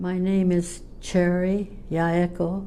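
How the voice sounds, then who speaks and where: A woman with a Californian accent speaks in a dark, mellow tone, with audible echo in the room. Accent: Californian American. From California, Fresno area. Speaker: interviewee. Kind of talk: interview.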